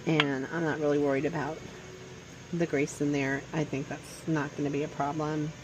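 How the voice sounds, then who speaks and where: The woman's voice is very deep and low, with monotone, flat intonation. Noticeable background noise sits behind her. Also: moderate pace. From Louisiana. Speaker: home cook vlogger. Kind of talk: cooking tutorial. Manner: casual, hesitant.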